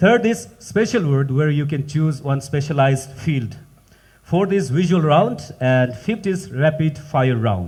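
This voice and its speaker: A man speaks fairly slowly in a fairly high, somewhat breathy voice. His pitch swings very widely. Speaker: quiz master of spelling competition. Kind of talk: live event hosting.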